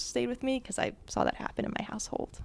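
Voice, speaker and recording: A woman with an American accent and vocal fry speaks at a fairly quick pace. The recording is very clean, with a silent background. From New Jersey. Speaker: public speaking teacher. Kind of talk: live storytelling to small audience. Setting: live event in an apartment with audience, handheld mic.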